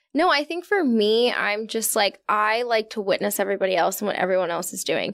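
Speaking with an American accent in an unremarkable speaking voice, the talker moves at a fairly quick pace with lively intonation and hardly any pauses. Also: woman, fairly high pitch for a woman. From Virginia. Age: 20s. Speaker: podcast host. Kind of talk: casual interview chat. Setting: studio.

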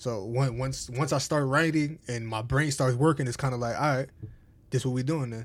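A man of medium pitch with an American accent, an unremarkable speaking voice, fairly even intonation and a moderate pace. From New Jersey, US. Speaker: rapper. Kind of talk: casual interview. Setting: studio.

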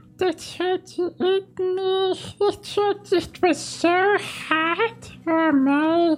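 This is a put-on character voice, squeaky and extremely high-pitched. It moves at a very slow pace. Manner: rambling, panicked.

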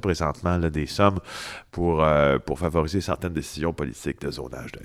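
A man talks at a fairly quick pace with a very deep, low pitch and vocal fry. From Quebec, Témiscamingue. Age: 40s. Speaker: investigative journalist. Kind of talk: interview.

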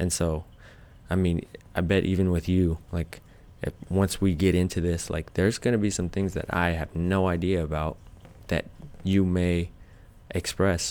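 Very deep and low, a man's voice holds a flat, monotone intonation at a moderate pace, with long, frequent pauses. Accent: American. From Arizona. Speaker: photographer and videographer. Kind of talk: casual chat.

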